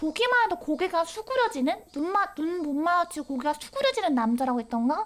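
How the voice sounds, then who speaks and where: A woman speaks with very wide pitch swings. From Korea. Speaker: VTuber game streamer. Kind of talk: game stream commentary with reading aloud. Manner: animated.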